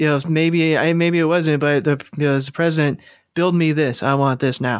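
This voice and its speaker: An American accent shapes this man's fairly high-pitched voice, which he keeps monotone and flat at a moderate pace. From California. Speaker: podcast host. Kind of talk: casual chat.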